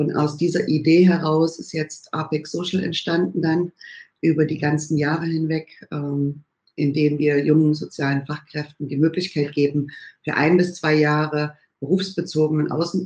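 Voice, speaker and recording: A woman at a fairly slow pace, her pitch very deep and low. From Saxony, Erzgebirge (eastern Germany). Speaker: congress organizer, former banker. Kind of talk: interview.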